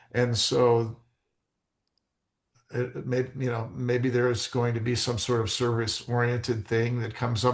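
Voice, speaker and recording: Somewhat breathy, the voice has an American accent and a moderate pace. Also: man. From Arizona. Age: 60s. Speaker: real estate agent. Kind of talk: podcast interview. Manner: halting.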